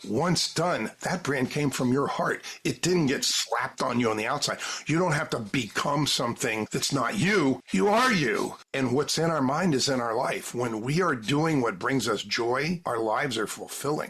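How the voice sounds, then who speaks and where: Against noticeable background noise, a man with a fairly high pitch talks at a moderate pace with lively intonation, very even loudness and hardly any pauses. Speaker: branding consultant. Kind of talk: interview.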